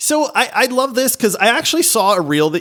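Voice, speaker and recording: On a very clean recording with a silent background, a man talks at a fairly quick pace in an animated tone. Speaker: podcast host. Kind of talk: casual chat. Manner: excitable, animated.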